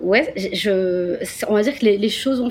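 Noticeable background noise runs under a woman who talks at a moderate speed. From France, Marseille. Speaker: tour guide entrepreneur. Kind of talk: interview.

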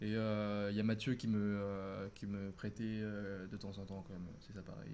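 This is an ordinary speaking voice from a man with a fairly low pitch. He speaks at a fairly slow pace. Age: 20s. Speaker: photographer and business student. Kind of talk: casual interview on a livestream.

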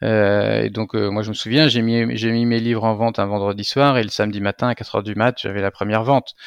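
A man's fairly low pitch in a monotone, flat intonation with a dry, close sound and no echo. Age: 40s. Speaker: entrepreneur, founder of a used-book business. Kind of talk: interview. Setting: video call.

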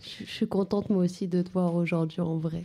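Dark and mellow, a woman's medium-pitched voice moves at a fairly slow pace with monotone, flat intonation. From Paris suburbs, Clichy-sous-Bois. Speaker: novelist. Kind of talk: live radio interview. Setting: library with audience.

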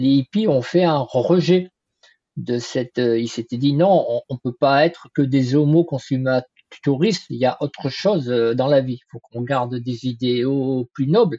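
A man talks at a fairly slow pace with medium pitch and ordinary pitch variation. He has an ordinary speaking voice. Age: 60s. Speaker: trend forecasting consultant. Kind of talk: interview.

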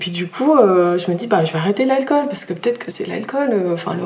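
A woman speaks at a very fast pace with lively intonation. Audible room echo and noticeable background noise come through. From southern France (Nîmes). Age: 30s. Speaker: physiotherapist and mother. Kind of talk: personal testimony in interview.

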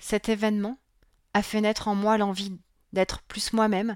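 A woman speaks at a medium pitch. The recording is very clean with a silent background and a dry, close sound with no echo. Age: 40s. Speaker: parenting coach and podcast host. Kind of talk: solo podcast monologue.

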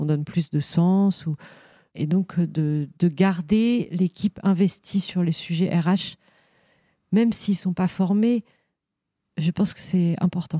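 Fairly low and dark, mellow in tone, a woman's voice moves at a fairly slow pace with fairly even intonation, dry and close with no echo on a very clean recording with a silent background. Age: 40s. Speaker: company co-founder. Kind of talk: interview conversation. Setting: company offices. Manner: halting, many fillers.

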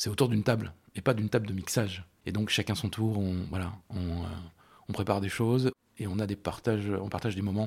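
Over a very clean recording with a silent background, a man with a fairly low pitch talks at a fairly quick pace, somewhat breathy, with fairly even intonation. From France, Loire (Rive-de-Gier, between Saint-Étienne and Lyon). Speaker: restaurant co-founder, entrepreneur. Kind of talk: interview. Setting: restaurant kitchen. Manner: halting, many repetitions.

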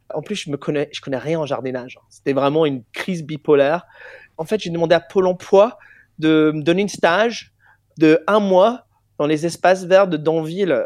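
A man's high-pitched voice at a moderate pace. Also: ordinary pitch variation. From England. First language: English (speaking French). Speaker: singer. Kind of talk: interview.

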